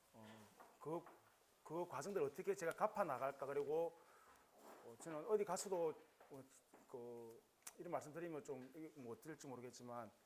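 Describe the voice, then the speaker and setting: A man's fairly high voice with lively intonation, big swings in loudness, a moderate pace and long, frequent pauses. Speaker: school vice principal and lecturer. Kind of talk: lecture. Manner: halting, many fillers.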